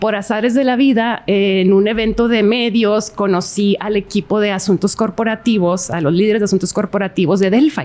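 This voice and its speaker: A woman's medium-pitched voice at a moderate pace, with very even loudness, ordinary pitch variation and hardly any pauses. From northern Mexico, Ciudad Juárez border. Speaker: corporate government relations director. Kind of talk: interview. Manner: hesitant with fillers.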